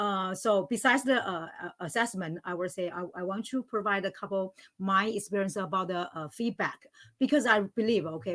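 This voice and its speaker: A woman with a non-native accent, medium in pitch with ordinary pitch variation, at a fairly quick pace. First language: not English; English is third language. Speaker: language teacher, panelist. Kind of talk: panel discussion. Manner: halting, many fillers.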